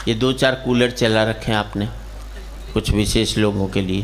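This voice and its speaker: A man's voice over noticeable background noise. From Haryana, India. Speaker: comic poet. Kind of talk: live comic poetry stage performance. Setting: live stage before an audience.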